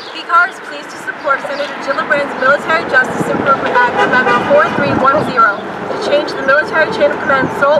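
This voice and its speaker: A woman at a very fast pace over loud background noise. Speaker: rally speaker reading a letter. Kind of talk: rally speech reading a formal advocacy letter aloud. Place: street. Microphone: camera far.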